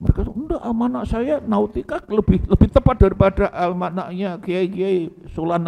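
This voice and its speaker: A man talks at a moderate pace with a high pitch and lively intonation. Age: 60s. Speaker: Islamic cleric. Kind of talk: religious lecture. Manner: casual, code-switching Javanese.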